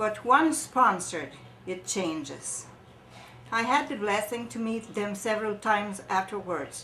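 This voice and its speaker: Audible room echo surrounds a woman's fairly high-pitched voice. She talks at a fairly slow pace with ordinary pitch variation. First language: French. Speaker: charity volunteer. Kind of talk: testimony; reading aloud. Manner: halting.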